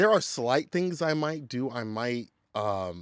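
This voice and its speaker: The recording is very clean, with a silent background and a dry, close sound with no echo. A man of medium pitch speaks in an animated tone. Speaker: fighting game commentator. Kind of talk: interview. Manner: loud.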